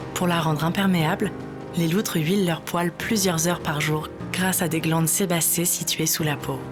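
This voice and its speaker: A woman with a fairly low pitch speaks at a moderate pace with fairly even intonation while music plays in the background. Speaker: voice actor. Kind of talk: documentary narration.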